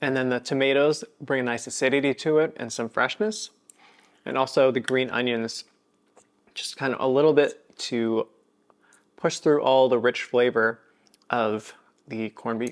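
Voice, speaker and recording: Speaking at a moderate pace and a medium pitch, a man keeps fairly even intonation and leaves long, frequent pauses. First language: Kapampangan. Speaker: cooking channel host. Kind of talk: cooking tutorial and tasting. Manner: casual.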